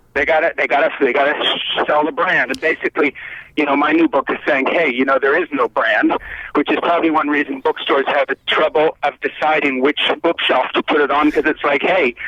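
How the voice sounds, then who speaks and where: Over noticeable background noise, a man with a fairly high pitch talks at a fairly quick pace. His intonation is monotone and flat, and his loudness stays very even. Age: 60s. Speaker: author. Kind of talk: casual chat.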